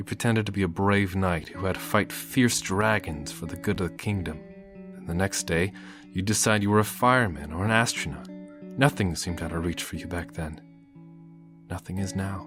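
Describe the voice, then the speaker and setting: Over music in the background, the speaker talks at a moderate pace with lively intonation and big swings in loudness. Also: man, very deep, low pitch for a man. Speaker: amateur story narrator. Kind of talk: story reading. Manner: emotional, heartfelt.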